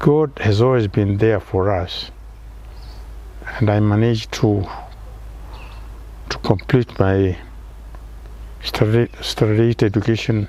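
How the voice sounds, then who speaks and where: Fairly slow speech from a man, with long, frequent pauses and noticeable background noise. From Kenya, Kiambu County. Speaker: retired engineer. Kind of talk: interview. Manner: halting.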